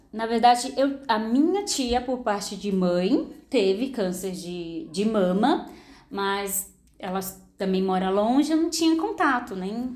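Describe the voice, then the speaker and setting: Through audible room echo, a woman speaks very slowly in a fairly high pitch with lively intonation. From São Paulo, Brazil (moved from Maranhão at seven). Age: 30s. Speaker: cancer survivor and model. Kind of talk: testimony.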